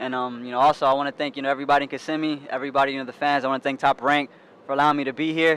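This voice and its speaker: A man's fairly high, monotone, flat voice at a very fast pace. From US, Puerto Rican and Mexican heritage. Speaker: professional boxer. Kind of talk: interview. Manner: halting, many fillers.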